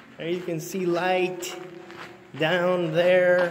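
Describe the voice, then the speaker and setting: Music is audible behind the voice. The delivery is very slow. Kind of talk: casual vlog chat. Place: tunnel cave. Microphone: phone near.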